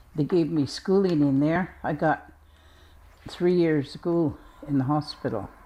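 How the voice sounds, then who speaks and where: A woman's very deep, low voice carries a dark, mellow tone and ordinary pitch variation. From Brackendale, British Columbia, Canada. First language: Squamish language. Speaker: First Nations elder. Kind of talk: personal reminiscence interview.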